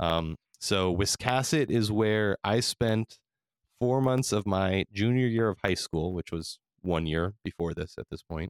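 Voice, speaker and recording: A man with an unremarkable speaking voice talks at a fairly slow pace and fairly low pitch, with ordinary pitch variation. The recording is very clean, with a silent background and a dry, close sound with no echo. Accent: American. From California. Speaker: podcast host. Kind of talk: casual chat.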